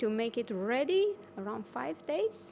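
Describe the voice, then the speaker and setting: This woman has a high-pitched voice with a Romanian accent. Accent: Romanian-accented English, non-native. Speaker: offshore wind engineer. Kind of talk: interview. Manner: halting, many fillers.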